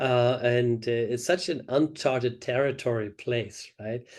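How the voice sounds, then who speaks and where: A man speaks in a dark, mellow tone. His intonation is fairly even, against a quiet background. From Germany. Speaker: dentistry professor. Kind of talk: interview. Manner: halting. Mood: relaxed, reflective, smiling. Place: office. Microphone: video call.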